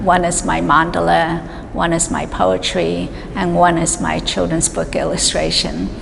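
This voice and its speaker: Fairly slow speech from a woman, with noticeable background noise and audible room echo. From New York City, Chinese immigrant family. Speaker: artist. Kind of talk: describing her artworks. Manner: halting, many fillers.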